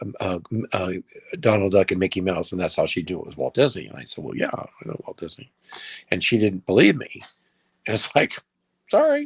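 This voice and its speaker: Recorded dry and close with no echo, a man with an American accent talks at a fairly quick pace, with long, frequent pauses and big swings in loudness. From US West (Los Angeles). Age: 60s. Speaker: filmmaker. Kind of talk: interview.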